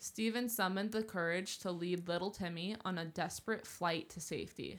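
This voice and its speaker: A woman speaks in an unremarkable speaking voice at medium pitch. Her pace is moderate, with ordinary pitch variation. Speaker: podcast co-host. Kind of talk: casual banter, chatty. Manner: playful, joking, overlapping.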